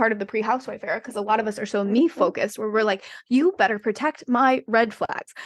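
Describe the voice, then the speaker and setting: Over a quiet background, a woman speaks with a fairly high pitch. Her tone is animated and her pace fairly quick. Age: 40s. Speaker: dating and relationship coach. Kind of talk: casual chat. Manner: fast.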